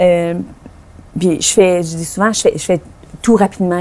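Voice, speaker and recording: The speaker is a woman with a medium pitch. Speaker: author. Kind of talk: interview. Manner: fast; hesitant, many fillers.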